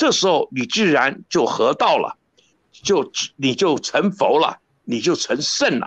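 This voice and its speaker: In a dry, close recording with no echo and a quiet background, a man speaks at a very slow pace, his high pitch making very wide swings. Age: 70s. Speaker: professor. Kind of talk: interview.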